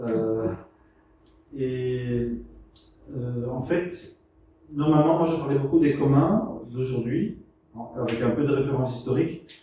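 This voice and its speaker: A man speaks very slowly in a Belgian accent, with ordinary pitch variation and long, frequent pauses. Audible room echo and noticeable background noise fill the recording. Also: medium pitch for a man. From Belgium. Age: 60s. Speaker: researcher and speaker on the commons. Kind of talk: lecture. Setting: venue with live audience. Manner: halting, many hesitations.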